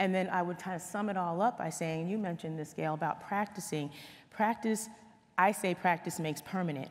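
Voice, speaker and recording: At a fairly quick pace, a woman speaks in a plain, everyday voice with fairly even intonation. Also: medium pitch for a woman. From New Jersey, US. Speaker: corporate leader, panelist. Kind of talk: panel discussion.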